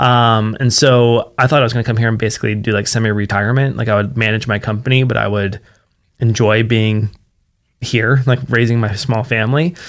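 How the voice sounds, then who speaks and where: Fairly quick and fairly even in intonation, a man with an American accent speaks at a medium pitch in an unremarkable speaking voice. The recording is very clean, with a silent background. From West Virginia. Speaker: nonprofit founder, addiction recovery advocate. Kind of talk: interview.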